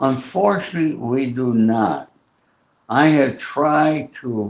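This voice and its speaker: A man at a very slow pace in a medium pitch. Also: ordinary pitch variation. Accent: American. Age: 80s+. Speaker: author and former mob associate. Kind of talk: interview.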